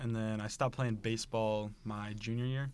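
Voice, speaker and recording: In an American accent, a man speaks with a normal speaking voice at a medium pitch with fairly even intonation. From central Illinois. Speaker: college bowler. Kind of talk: interview. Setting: studio.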